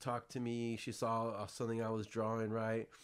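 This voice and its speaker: A man with an American accent and medium pitch speaks at a moderate pace on a very clean recording with a silent background. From US West Coast, San Jose area (South Bay). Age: 40s. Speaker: podcast host, entrepreneur. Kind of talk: casual chat. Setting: studio.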